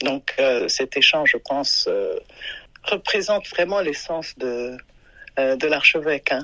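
A very slow delivery, long and frequent pauses, ordinary pitch variation. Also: woman, very deep, low pitch for a woman. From Burundi. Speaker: human rights advocate, former foundation staffer. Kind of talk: interview. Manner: halting, many hesitations.

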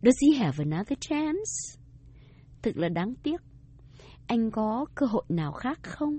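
A woman with a fairly high pitch speaks at a fairly slow pace, making very wide pitch swings and long, frequent pauses. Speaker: radio language teacher. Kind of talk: scripted bilingual lesson dialogue.

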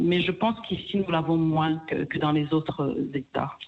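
A woman speaks in a plain, everyday voice with a fairly low pitch. Her pace is fairly slow. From DR Congo, Kivu. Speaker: restaurant co-owner. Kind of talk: radio interview.

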